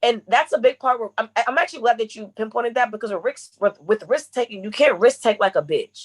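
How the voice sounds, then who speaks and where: An animated woman with a fairly high pitch and ordinary pitch variation speaks at a fairly quick pace with hardly any pauses and big swings in loudness, in a dry, close sound with no echo. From Connecticut (Bloomfield), moved to Memphis at 17. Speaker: brand manager and content creator. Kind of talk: podcast interview. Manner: fast talker.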